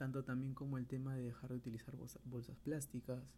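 A medium-pitched male voice, somewhat breathy, with a dark, mellow tone. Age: 20s. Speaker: podcaster, architect and photographer. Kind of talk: solo monologue podcast. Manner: halting, with frequent repetitions.

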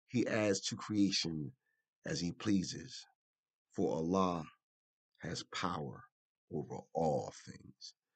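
A man with an American accent speaks at a very slow pace, his very deep, low voice carrying vocal fry. Long pauses come often. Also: lively intonation. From Philadelphia, US. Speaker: storyteller. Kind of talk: personal storytelling, memoir. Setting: internet radio show.

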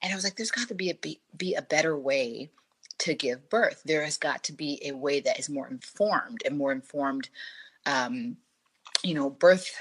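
A woman with a very deep, low pitch speaks at a moderate pace, her voice making very wide pitch swings. Long, frequent pauses break up her speech, and the sound is dry and close with no echo. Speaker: doula. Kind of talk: interview.

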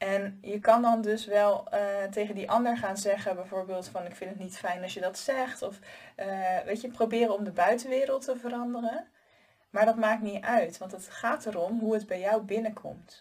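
This woman has an ordinary speaking voice, medium in pitch with ordinary pitch variation, talking at a moderate pace with big swings in loudness. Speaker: life coach and podcast host. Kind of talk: solo advice monologue. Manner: casual, conversational with filler words.

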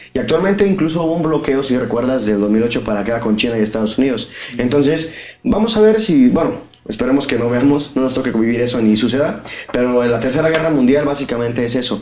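A man at a very fast pace with ordinary pitch variation, amid audible room echo and noticeable background noise. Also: medium pitch for a man. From Mexico, Guadalajara (Jalisco). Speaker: podcast co-host. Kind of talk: casual comedic chat.

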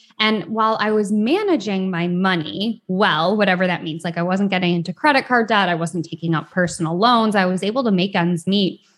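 The speaker talks at a fairly quick pace in an American accent, with ordinary pitch variation and hardly any pauses, on a very clean recording with a silent background. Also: woman, medium pitch for a woman. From US Midwest, rural Michigan. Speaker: financial therapist. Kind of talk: interview.

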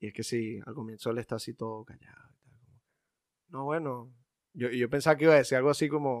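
A man of medium pitch talks at a fairly quick pace with fairly even intonation and long, frequent pauses, in a very clean recording with a silent background. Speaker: film podcast co-host. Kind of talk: casual chat.

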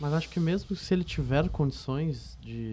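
A man is talking. His pace is fairly slow. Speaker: student interviewer. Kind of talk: interview questioning.

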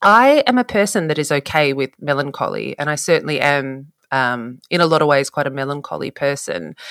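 With an Australian accent and a very deep, low pitch, a woman talks at a fairly quick pace with hardly any pauses and lively intonation, in a dry, close sound with no echo. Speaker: photographer. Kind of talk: casual chat.

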